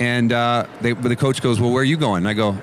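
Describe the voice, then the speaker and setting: Over noticeable background noise, a man with a Canadian accent speaks at a medium pitch and a fairly quick pace with fairly even intonation. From Canada. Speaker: former football punter. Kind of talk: casual chat. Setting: radio row at the Super Bowl.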